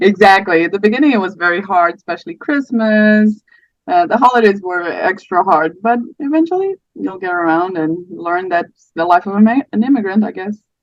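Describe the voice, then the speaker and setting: Lively intonation carries this voice, which has a slight Portuguese accent. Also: woman, medium pitch for a woman, fairly quick pace. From Portugal. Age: 30s. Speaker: podcast guest sharing miscarriage story. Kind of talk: casual interview chat. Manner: hesitant, many fillers.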